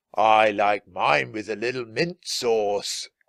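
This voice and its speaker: Putting on a character voice, a man speaks raspily at a fairly slow pace and a medium pitch. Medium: read story. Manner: gruff.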